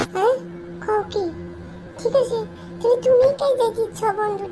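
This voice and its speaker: Using a cartoonish character voice, a woman talks at a fairly slow pace with an extremely high pitch. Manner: silly, exaggerated cartoon voice.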